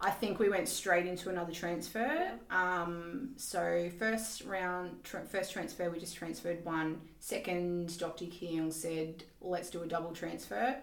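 A woman with an Australian accent speaks fairly slowly with hardly any pauses, fairly low in pitch and with ordinary pitch variation. Noticeable background noise is present. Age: 40s. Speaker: IVF patient and mother. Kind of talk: interview.

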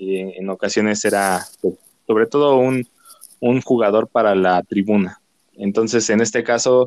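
In a dry, close sound with no echo, a man speaks very slowly with a fairly low pitch and fairly even intonation. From Mexico, northern State of Mexico. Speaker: guest, team fan. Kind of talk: casual sports chat.

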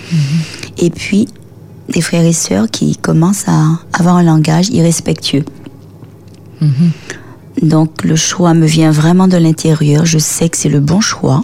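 A woman with a very deep, low pitch, a very slow pace, long, frequent pauses and very even loudness against noticeable background noise. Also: ordinary pitch variation. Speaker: author. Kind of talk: radio interview.

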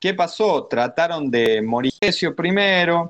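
A man with an Argentine accent and lively intonation. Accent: Argentine Spanish (Rioplatense). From Argentina. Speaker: university student, finance guest. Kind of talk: explanatory interview.

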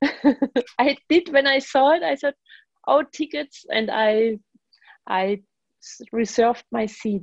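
A woman with a German accent speaks at a high pitch with lively intonation. Her pace is very slow with long, frequent pauses, and the sound is dry and close with no echo. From Germany. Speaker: jazz bass player and composer. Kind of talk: radio interview.

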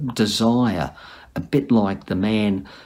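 The voice carries an Australian accent. Its intonation is lively. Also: man. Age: 50s. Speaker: church member sharing testimony. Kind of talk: recorded testimony to camera. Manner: halting.

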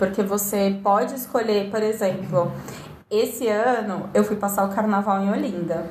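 With audible room echo and noticeable background noise, a woman speaks at a moderate pace in a medium pitch with fairly even intonation. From Brazil. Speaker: podcast guest. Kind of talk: casual chat.

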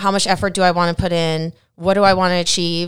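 On a very clean recording with a silent background, a woman speaks at a moderate pace. Her tone is energetic, with an American accent. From Minnesota. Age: 40s. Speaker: gym manager and fitness coach. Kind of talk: casual interview.

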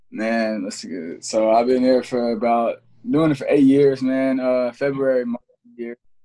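At a fairly slow pace, a man with an American accent speaks in a plain, everyday voice at a medium pitch. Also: fairly even intonation. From Ohio, Cincinnati. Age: 20s. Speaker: rapper and producer. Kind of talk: casual chat.

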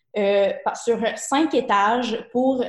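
A woman talks with a Quebec accent. Her voice is pitched fairly high. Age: 20s. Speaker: fashion entrepreneur. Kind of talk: interview.

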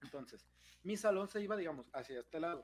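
Speaking with a Mexican accent, a man delivers his lines with lively intonation. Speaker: podcast co-host. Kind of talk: casual chat.

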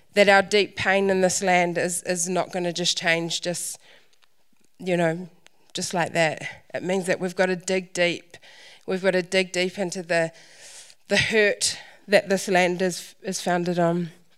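A woman's medium-pitched voice, monotone and flat, at a fairly slow pace with long, frequent pauses, on a very clean recording with a silent background. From New Zealand, Taranaki (Waitara). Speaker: Māori speaker on culture and faith. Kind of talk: church talk. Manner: hesitant, many fillers.

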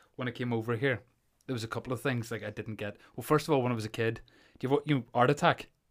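In a Northern Irish accent, a man with a medium pitch speaks at a very fast pace with fairly even intonation. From Northern Ireland. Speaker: podcast host. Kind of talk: casual chat.

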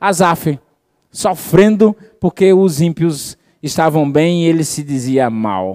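A warm, dark, mellow tone with a Brazilian accent, lively intonation and a very slow pace. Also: man, fairly high pitch for a man. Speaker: preacher. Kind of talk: sermon. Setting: church with congregation. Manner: warm, fervent preaching, rhetorical questions to the congregation.

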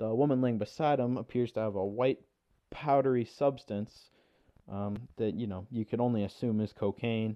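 The tone sounds nervous. Delivery comes at a moderate pace with fairly even intonation. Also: man, medium pitch for a man. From Ontario, Canada. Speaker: podcast host. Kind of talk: solo sports podcast talk, casual. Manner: monotone, self-described; somewhat halting, nervous first-timer.

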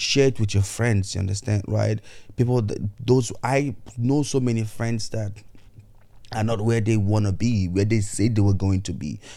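A dark, mellow tone comes through at a moderate pace. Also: man, fairly low pitch for a man. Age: 30s. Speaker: podcast host. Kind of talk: motivational monologue. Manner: animated.

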